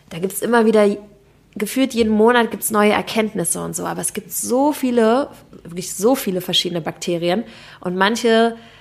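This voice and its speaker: A woman speaks in a normal speaking voice, fairly high-pitched, at a fairly quick pace. Her pitch varies in an ordinary way while her loudness swings widely. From Berlin, Germany. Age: 30s. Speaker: health and nutrition coach. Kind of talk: casual interview.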